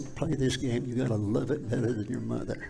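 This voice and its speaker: The speaker is a man with an American accent. He talks at a fairly quick pace, and room echo is audible. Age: 80s+. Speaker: former high school football player. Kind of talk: interview storytelling. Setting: live studio.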